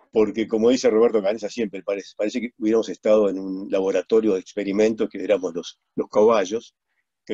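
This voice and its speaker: A man with a fairly low, dark, mellow voice speaks fairly quickly in a flat monotone, the sound dry with no echo and the background quiet. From Uruguay. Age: 70s. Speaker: plane crash survivor and speaker; webinar guest. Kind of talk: testimony. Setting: video call. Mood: reflective, calm. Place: home room. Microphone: video call.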